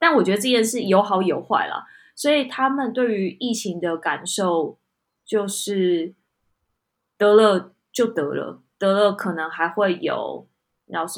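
A woman with a Taiwanese accent speaks at a very slow pace, her intonation lively. The recording is very clean, with a silent background. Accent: Taiwanese Mandarin. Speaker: podcast co-host. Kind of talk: casual chat.

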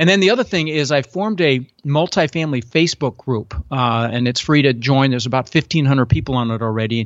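Hardly any pauses break up the very fast pace, and the pitch variation is ordinary. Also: man, medium pitch for a man. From Netherlands-born, raised in Denver, US. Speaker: real estate investor. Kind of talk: interview.

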